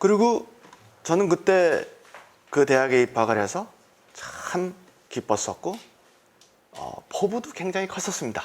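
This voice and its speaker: High-pitched male speech, fairly slow, with very wide pitch swings and long, frequent pauses. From South Korea. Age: 60s. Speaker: entrepreneur giving testimony. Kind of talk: testimony.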